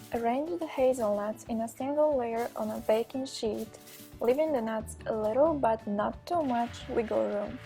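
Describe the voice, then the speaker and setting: A moderate pace of speech over music in the background. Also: woman. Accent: non-native. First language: not English. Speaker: graphic design student, home cook. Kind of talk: cooking class instruction.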